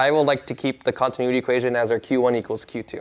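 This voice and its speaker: Very fast pace from this man. His pitch sits at a medium level. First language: not English. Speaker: university instructor. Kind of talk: lecture. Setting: classroom with students. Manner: casual, with many fillers.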